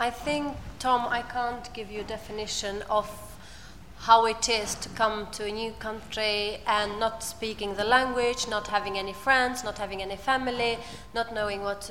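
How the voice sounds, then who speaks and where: A woman with an Albanian accent speaks at a moderate pace in a fairly high voice. Her intonation stays fairly even over noticeable background noise. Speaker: asylum seeker and volunteer speaker. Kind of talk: personal testimony on panel.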